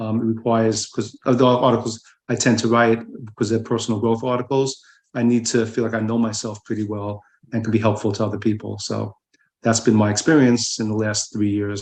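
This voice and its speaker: Monotone, flat delivery from a man with an American accent, medium in pitch, at a fairly quick pace. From New York. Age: 70s. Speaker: writer. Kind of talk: casual chat. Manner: halting.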